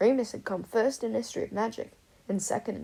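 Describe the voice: The text is read aloud plainly, with pitch shifting in an ordinary way.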